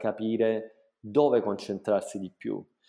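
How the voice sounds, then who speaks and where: A very clean recording of a man, its background silent. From southern Italy, Salento (Apulia). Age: 40s. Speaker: hotel entrepreneur. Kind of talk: interview.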